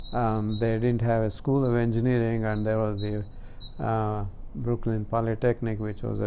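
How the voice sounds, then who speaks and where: In a dark, mellow tone, a man speaks at a fairly low pitch and a moderate pace with monotone, flat intonation, and audible room echo around him. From India, Karnataka. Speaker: scientist. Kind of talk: interview. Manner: halting.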